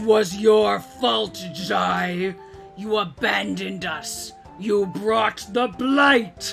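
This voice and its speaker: Over clear music in the background, a man puts on a high-pitched character voice and speaks at a very slow pace. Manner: accusing, bitter.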